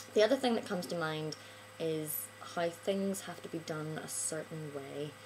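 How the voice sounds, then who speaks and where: A woman with a Northern Irish accent, very deep and low in pitch, at a moderate pace, with noticeable background noise. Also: ordinary pitch variation. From Northern Ireland. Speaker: vlogger. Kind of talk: casual video monologue. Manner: hesitant, many filler ums.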